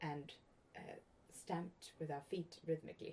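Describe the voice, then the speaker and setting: A woman's somewhat breathy, dark, mellow voice, fairly low in pitch, at a fairly slow pace. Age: 40s. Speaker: podcast host. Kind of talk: casual interview conversation.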